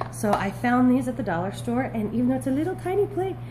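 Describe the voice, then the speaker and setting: A woman talks at a fairly quick pace over light background noise. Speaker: vlogger. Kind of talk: haul video monologue. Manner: fast; animated. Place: kitchen. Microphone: phone near.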